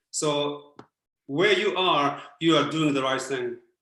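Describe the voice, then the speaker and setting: Speaking at a fairly slow pace, a man has a fairly high pitch and a bright, sharp tone, with audible room echo. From Japan. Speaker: former Buddhist priest, speaker. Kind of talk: Q&A answers in online talk. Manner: halting, many fillers.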